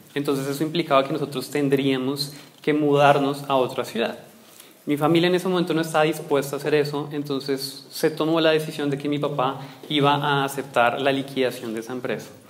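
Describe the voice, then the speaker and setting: A man with a fairly high voice and fairly even intonation, talking at a fairly quick pace, with noticeable background noise and audible room echo. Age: 20s. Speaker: business coach and speaker. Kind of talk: lecture.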